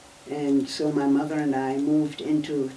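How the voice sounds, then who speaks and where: With noticeable background noise and audible room echo, a woman talks in a very deep, low pitch with fairly even intonation. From Germany, Berlin. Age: 80s+. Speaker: Holocaust survivor. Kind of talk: oral history interview.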